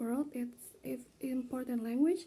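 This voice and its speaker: A woman with an Indonesian accent speaks at a high pitch and a moderate pace, her tone dark and mellow and her intonation fairly even. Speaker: student. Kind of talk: class presentation video. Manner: halting.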